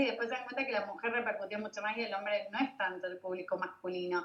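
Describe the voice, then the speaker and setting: A woman is speaking. Her pitch is fairly high. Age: 40s. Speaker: digital launch expert and event organizer. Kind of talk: casual interview chat.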